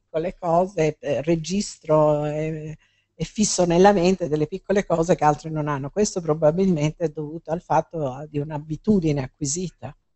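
The speaker keeps a moderate pace with fairly even intonation. The sound is dry with no echo over a quiet background. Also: woman. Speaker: biologist and speaker. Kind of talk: public talk; interview answers. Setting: bookstore event with audience. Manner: hesitant, many fillers. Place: shop.

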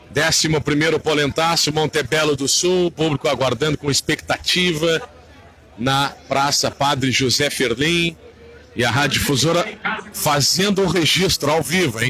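A man's voice keeps a very even loudness, dry with no echo, though noticeable background noise is present. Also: ordinary pitch variation, fairly slow pace. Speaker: radio announcer. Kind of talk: live event commentary. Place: street. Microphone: phone near.

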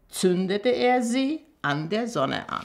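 Speaking at a very slow pace, a woman lets her pitch swing very widely. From Armenia. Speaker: storyteller, journalist and teacher reading a fairy tale. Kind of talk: reading aloud a fairy tale. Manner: expressive storytelling, measured pace. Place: home room.

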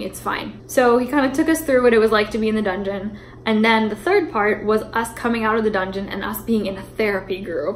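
With music in the background, a woman talks at a fairly quick pace with ordinary pitch variation. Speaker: vlogger. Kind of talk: casual vlog chat, storytelling. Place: kitchen. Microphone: phone near.

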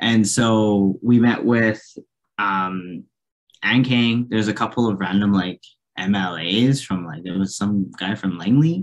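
Speaking slowly, a man keeps a fairly low pitch with ordinary pitch variation.

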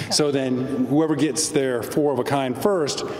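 A man's voice carries audible room echo, with light background noise behind it. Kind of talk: interview answer. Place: hall. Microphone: handheld.

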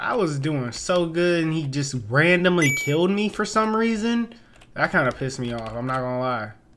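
Moderate pace from a man, noticeable background noise behind him. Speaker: game streamer. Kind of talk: gaming commentary. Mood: frustrated, exasperated. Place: home room. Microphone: headset.

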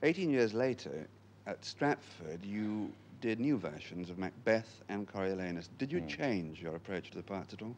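Over light background noise, a man with a fairly low pitch speaks at a moderate pace with lively intonation. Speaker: interviewer. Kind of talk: formal broadcast interview. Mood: calm, thoughtful. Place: studio.

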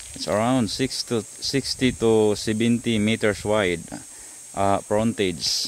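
A man at a fairly low pitch and slow pace, with ordinary pitch variation and faint background noise

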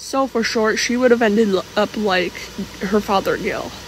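A soft-spoken woman with a fairly high pitch and fairly even intonation, against noticeable background noise. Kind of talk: casual fan theory talk. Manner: quiet, soft-spoken.

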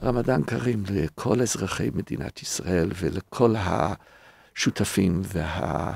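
In an English accent, a man with a very deep, low voice and vocal fry talks very slowly yet with hardly any pauses, his intonation lively and the sound dry and close with no echo. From North America. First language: English (speaking Hebrew). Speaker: rabbi and podcast co-host. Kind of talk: casual chat.

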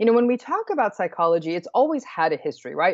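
A woman is heard against a quiet background. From United States. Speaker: clinical psychologist and professor; professor. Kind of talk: interview. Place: home room. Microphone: earbuds.

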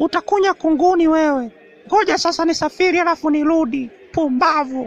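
A cartoonish character voice, high-pitched and delivered at a fairly quick pace. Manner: hostile, insulting, menacing; shouting, threatening.

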